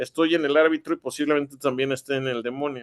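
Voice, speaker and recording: A man with a Mexican accent, fairly high pitch and fairly even intonation, in a dry, close sound with no echo. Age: 40s. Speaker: writer. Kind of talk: interview. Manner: halting, many fillers and repetitions.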